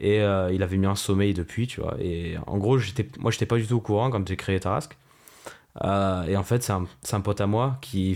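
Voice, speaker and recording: The voice belongs to a man with a fairly low pitch. He speaks at a moderate speed. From Provence, southern France (Marseille). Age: 20s. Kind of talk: interview. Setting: remote call. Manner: halting, many fillers.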